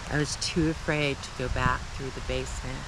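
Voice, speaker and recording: Noticeable background noise behind a man with a fairly high pitch and a fairly slow pace. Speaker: solo camper and vlogger telling a personal ghost story. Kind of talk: first-person ghost story told to camera at a campsite. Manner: slow, reflective storytelling with pauses.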